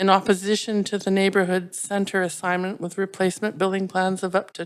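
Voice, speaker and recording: A woman with a Canadian accent speaks at a medium pitch in a flat monotone, on a very clean recording with a silent background. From Vancouver, Canada. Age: 60s. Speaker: public hearing speaker. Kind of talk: public hearing testimony. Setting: council chambers. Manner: formal.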